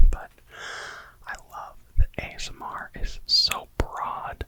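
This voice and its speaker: Whispering in a relaxed tone, a man speaks over noticeable background noise. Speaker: ASMR creator. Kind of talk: whispered ASMR ramble to camera. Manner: whispered, slow, relaxed.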